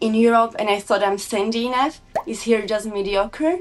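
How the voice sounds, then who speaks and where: A woman with a Slovak accent speaks at a fairly high pitch. Her pace is moderate and her intonation fairly even. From Slovakia. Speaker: snowbike and motocross rider. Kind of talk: casual interview. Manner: halting.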